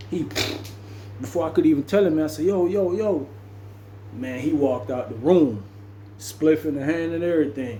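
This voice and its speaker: A man with a fairly high voice talks at a moderate pace, his pitch swinging very widely, with long, frequent pauses, audible room echo and noticeable background noise. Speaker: storyteller, former prisoner. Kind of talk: casual storytelling monologue. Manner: animated, acts out dialogue.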